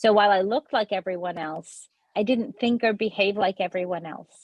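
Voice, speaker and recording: A woman speaks with a non-native accent. Her pace is fairly quick. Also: medium pitch for a woman, ordinary pitch variation. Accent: noticeable accent, immigrant. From US childhood, then India from age 15. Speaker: state legislator. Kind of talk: award acceptance speech. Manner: hesitant, many fillers.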